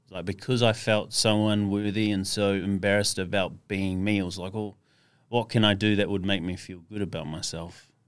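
With an Australian accent, this voice speaks at a moderate pace in a flat monotone, captured in a very clean recording with a silent background. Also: man, fairly low pitch for a man. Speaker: mental health speaker for mining workers. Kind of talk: casual interview chat. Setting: podcast studio.

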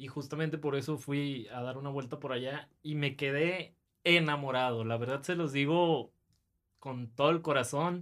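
A man's unremarkable speaking voice, fairly high in pitch with ordinary pitch variation, at a moderate pace. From Monterrey, northern Mexico. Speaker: podcast host. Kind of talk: casual chat.

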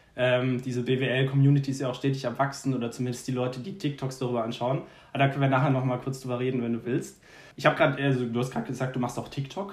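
This man's intonation is fairly even. He speaks very fast. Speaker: podcast host. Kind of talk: casual chat.

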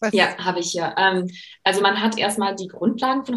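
The woman speaks with fairly even intonation. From USA. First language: English (speaking German). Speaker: career coach and master's student. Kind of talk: interview.

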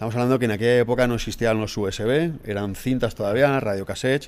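A man speaks at a fairly quick pace. His pitch sits in the medium range. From Spain, Valencia region (Alzira). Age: 40s. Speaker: teacher and fitness event promoter. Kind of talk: casual interview. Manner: animated.

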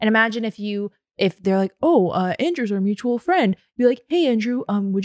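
With an American accent, a woman speaks at a fairly high pitch with lively intonation. The sound is dry and close with no echo, over a quiet background. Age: 20s. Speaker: record label executive. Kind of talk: interview.

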